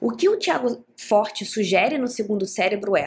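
In an ordinary speaking voice, a woman talks at a fairly slow pace with lively intonation. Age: 30s. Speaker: podcast host. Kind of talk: casual solo monologue. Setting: home living room.

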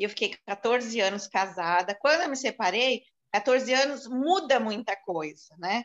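An unremarkable speaking voice with lively intonation against a quiet background. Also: woman. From São Paulo city, Brazil. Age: 60s. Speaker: event marketing professional. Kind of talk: interview testimony.

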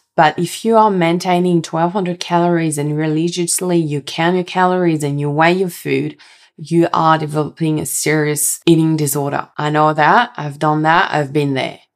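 The speaker has a slight French accent. Intonation is fairly even and the pace is moderate. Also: woman. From France. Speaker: health coach and podcast host. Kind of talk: solo podcast monologue.

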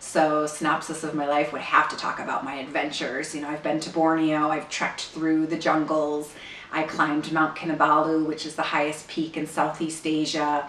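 Amid noticeable background noise and audible room echo, a woman with a very deep, low pitch speaks in a monotone, flat intonation with hardly any pauses. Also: moderate pace. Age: 40s. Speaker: actress. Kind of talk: recorded interview answers. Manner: hesitant with frequent fillers.

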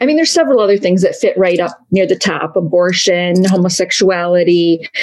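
A woman's plain, everyday voice at a medium pitch, with a moderate pace and lively intonation. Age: 50s. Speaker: blogger and former missionary. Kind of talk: casual interview.

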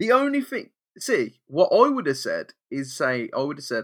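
The pace is moderate as a man talks. Nothing can be heard behind him in this very clean recording. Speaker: podcast co-host. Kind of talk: casual chat.

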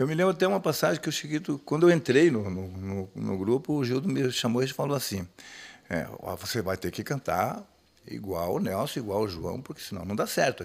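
A man speaks at a medium pitch with very wide swings up and down. His pace is fairly quick. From Rio Grande do Sul, Brazil (Nonoai). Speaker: singer of a gaucho music group. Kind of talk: casual chat.

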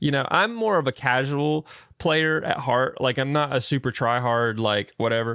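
On a very clean recording with a silent background, a man with a Southern US accent speaks at a medium pitch and moderate pace, his tone bright and sharp, his loudness very even and his pitch varying in an ordinary way. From US South. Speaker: podcast co-host. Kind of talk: casual chat. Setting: live stream with chat.

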